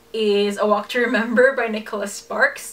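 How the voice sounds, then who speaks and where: Noticeable background noise under a woman's fairly high-pitched voice, moderate in pace. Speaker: book vlogger. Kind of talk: casual monologue.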